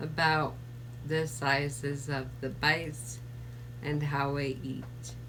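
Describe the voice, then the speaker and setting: Noticeable background noise sits under speech delivered very slowly. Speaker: vlogger living with ALS. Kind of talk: personal video update.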